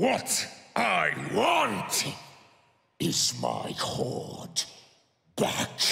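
The recording has a clear echo. A man uses a raspy, put-on character voice. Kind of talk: live staged reading of game cinematic. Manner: defiant, impassioned, shouting.

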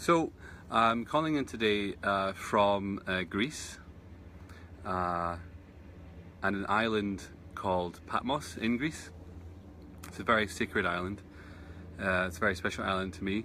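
At a fairly low pitch, a man speaks in a bright, sharp tone with ordinary pitch variation and a fairly slow pace. Long, frequent pauses break up his speech, and the dry sound has no echo, only light background noise. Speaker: meditation teacher. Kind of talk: casual live-stream chat. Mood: warm, enthusiastic. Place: garden. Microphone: phone near.

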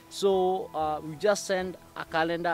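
A man speaks with fairly even intonation in a dry sound with no echo, faint music playing in the background. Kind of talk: informative talk to camera. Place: open country.

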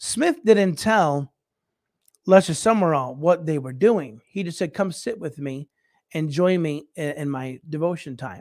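A man with lively intonation, the sound dry with no echo and the background quiet. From United States. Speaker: bishop and missionary, livestream show host. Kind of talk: casual livestream talk with Bible teaching. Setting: live stream. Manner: rambling, frequent fillers and repetitions. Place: home room. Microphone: studio mic.

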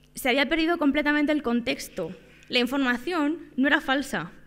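With ordinary pitch variation, a woman speaks at a fairly quick pace. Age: 20s. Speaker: data journalist and lecturer; data journalist, lecturer. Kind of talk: workshop talk. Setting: conference room with audience. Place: hall. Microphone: podium.

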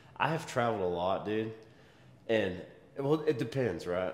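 A man is speaking. There is audible room echo around his voice. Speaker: fitness vlogger. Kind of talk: casual vlog chat. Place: gym. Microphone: camera far.

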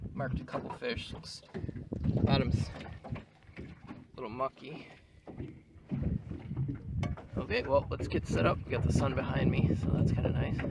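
A man's voice with long, frequent pauses, loud background noise, and a dry sound without echo. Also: moderate pace. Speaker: angler vlogger. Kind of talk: casual vlog chat. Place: boat. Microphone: phone near.

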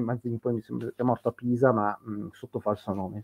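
A man at medium pitch, talking at a very fast pace. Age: 50s. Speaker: history podcaster. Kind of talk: casual chat. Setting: live stream. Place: home room. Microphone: video call.

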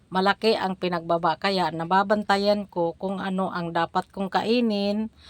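Over music in the background, a woman talks at a medium pitch, the sound dry and close with no echo. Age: old. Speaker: vlogger. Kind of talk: casual vlog talk.

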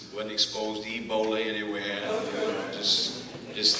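A man with an American accent at a moderate pace, amid audible room echo and noticeable background noise. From Texas. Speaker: preacher delivering a sermon. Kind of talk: sermon introduction. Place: church. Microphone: camera far.

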